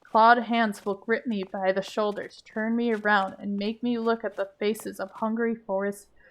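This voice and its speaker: A woman's fairly high voice with an American accent, at a fairly slow pace and in a monotone, flat intonation. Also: very clean recording, silent background. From US South. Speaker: gaming streamer. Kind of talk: reading game text aloud. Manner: halting over difficult words.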